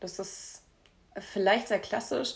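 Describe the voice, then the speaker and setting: A woman talks at a medium pitch. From Hamburg, Germany. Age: 20s. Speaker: podcast co-host. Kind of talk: casual chat.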